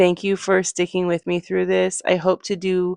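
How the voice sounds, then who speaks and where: Recorded dry and close with no echo against a quiet background, a woman speaks in a fairly low voice. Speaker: novelist and writing vlogger. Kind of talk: casual chat. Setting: at home at night. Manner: chatty.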